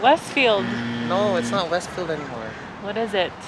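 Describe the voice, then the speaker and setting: Loud background noise fills the recording, though the sound is dry with no echo. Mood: playful, laughing. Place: street. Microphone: phone near.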